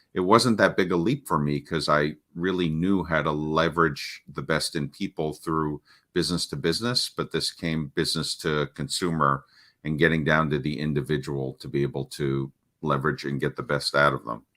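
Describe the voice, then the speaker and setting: A man speaks at a moderate pace with ordinary pitch variation. His pitch is very deep and low, and his tone is bright and sharp. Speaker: parenting coach. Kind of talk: interview. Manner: halting.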